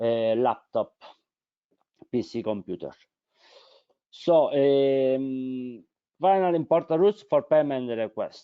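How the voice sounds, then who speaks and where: A man with a strong non-native accent speaks with long, frequent pauses. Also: medium pitch for a man, ordinary pitch variation. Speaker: webinar presenter. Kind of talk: informational webinar presentation. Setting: online webinar. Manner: hesitant, many fillers.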